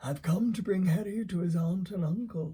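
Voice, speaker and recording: Put-on character voice from a man, pitched high, moderate in pace. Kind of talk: bedtime story reading. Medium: read story. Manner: calm, gentle, gently humorous.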